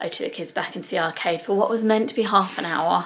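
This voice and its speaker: A soft-spoken voice with an English accent. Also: woman. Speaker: family vlogger. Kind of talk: casual vlog to camera. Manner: quiet, talking softly.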